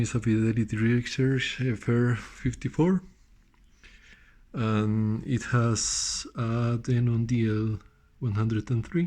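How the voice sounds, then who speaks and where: A man speaks at a very slow pace with a Spanish accent. His voice sits at a medium pitch with ordinary pitch variation. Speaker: audio hobbyist. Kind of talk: casual show-and-tell. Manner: halting, many fillers and repeats.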